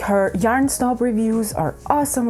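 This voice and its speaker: There is noticeable background noise as a woman speaks at a moderate tempo. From Ukraine. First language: Ukrainian or Russian. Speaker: crafting YouTuber. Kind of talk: casual vlog chat. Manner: casual, self-correcting.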